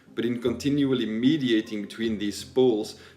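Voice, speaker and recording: A man's medium-pitched voice with a non-native accent, ordinary pitch variation and a fairly quick pace. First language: not English. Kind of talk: video essay narration.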